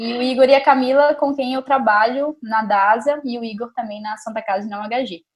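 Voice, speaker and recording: A woman talks at a high pitch and a moderate pace, with hardly any pauses and ordinary pitch variation. Her loudness swings widely. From Brazil, Montes Claros, Minas Gerais. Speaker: neuroradiologist. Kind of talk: casual interview.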